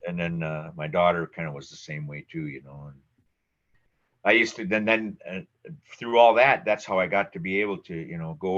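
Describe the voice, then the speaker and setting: A man with an Upper Midwest accent speaks in a very deep, low pitch. His pace is fairly quick and the background is quiet. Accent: Upper Midwest American. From Minnesota, Twin Cities suburbs. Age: 60s. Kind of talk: oral history interview. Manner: halting, many fillers.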